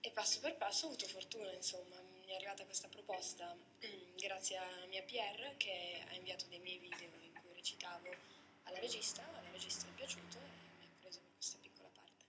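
A woman whispers at a fairly quick pace. Her loudness swings a lot. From Switzerland. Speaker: model and actress; actress. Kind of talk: interview. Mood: calm, pleasant. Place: studio.

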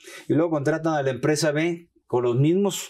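The voice belongs to a man with a dark, mellow tone. He keeps to a moderate pace. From Mexico, Sinaloa. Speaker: tax lawyer and law professor; tax lawyer, law professor. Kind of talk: expert interview on TV program. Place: studio. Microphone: lapel.

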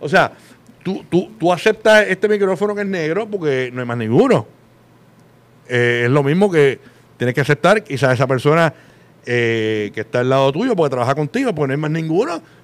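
A man's fairly high voice with very wide pitch swings, a moderate pace and long, frequent pauses. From Puerto Rico. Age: 40s. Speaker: radio host; podcast guest, radio host. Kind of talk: casual chat. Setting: studio with live audience. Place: studio. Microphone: studio mic.

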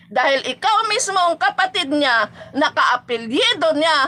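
With noticeable background noise, a woman uses a raised, projected voice at an extremely high pitch, speaking fairly slowly with very wide pitch swings. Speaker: live-stream vlogger, political supporter. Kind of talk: angry rant, insulting political opponents in a livestream. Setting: live stream to online viewers. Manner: animated, scornful, loud and heated; mocking, laughs often.

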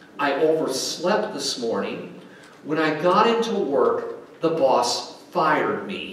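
A man at a very slow pace with very wide pitch swings, light background noise and audible room echo. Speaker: pastor. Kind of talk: sermon. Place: church.

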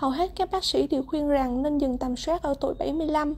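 High female voice at a fairly quick pace, fairly even in intonation, on a very clean recording with a silent background. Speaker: medical student. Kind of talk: class presentation. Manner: formal.

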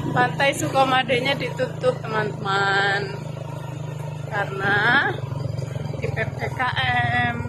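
A man speaking at a very slow pace over loud background noise. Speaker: vlogger narrating a trip. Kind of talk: casual vlog commentary. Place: motorbike. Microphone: phone near.

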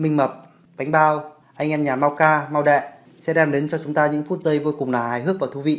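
This is a man speaking. His intonation is flat and monotone. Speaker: video host. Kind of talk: casual vlog outro. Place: home room.

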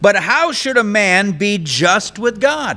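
A man speaks at a very slow pace in a raised, projected voice with a high pitch. His tone is bright and sharp, his intonation lively, and the background quiet. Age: old. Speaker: pastor. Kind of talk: sermon. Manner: conversational. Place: church. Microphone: podium.

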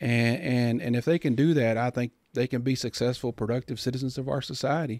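With a Texan accent, the speaker talks at a fairly quick pace in a dry, echo-free sound against a quiet background. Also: man. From Texas, Comanche County; Texas. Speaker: banker; podcast guest. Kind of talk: casual chat; interview answer. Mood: calm, warm. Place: studio. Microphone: studio mic.

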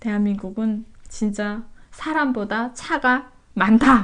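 A woman at a fairly high pitch. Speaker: YouTuber, North Korean defector. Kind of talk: casual interview chat.

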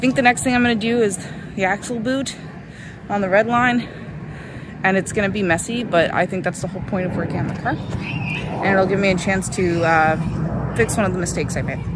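Loud background noise accompanies a woman speaking at a fairly quick pace in a dry sound with no echo. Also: ordinary pitch variation. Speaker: car DIY vlogger. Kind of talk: casual vlog chat. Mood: upbeat, slightly wry. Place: street. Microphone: phone near.

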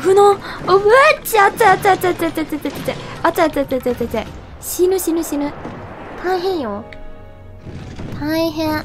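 Music plays behind a woman with an extremely high voice. Her intonation is lively. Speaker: video game commentator. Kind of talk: game commentary. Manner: excitable, expressive.

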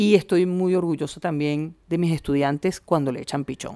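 A woman with a fairly low pitch and a dark, mellow tone is heard on a very clean recording with a silent background. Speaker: film director and screenwriter. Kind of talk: interview.

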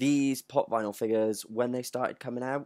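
The background stays quiet. A man talks with fairly even intonation. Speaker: collector vlogger. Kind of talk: casual vlog chat, unboxing review. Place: home room. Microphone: webcam.

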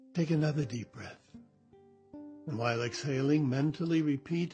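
With music in the background, a man speaks calmly at a fairly slow pace and a fairly high pitch. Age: 80s+. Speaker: meditation guide. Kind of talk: guided meditation. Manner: slow, calm.

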